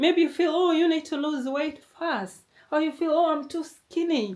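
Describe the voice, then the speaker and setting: Speaking at a moderate pace, a woman with a high voice talks in a non-native accent. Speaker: motivational YouTuber. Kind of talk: motivational talk.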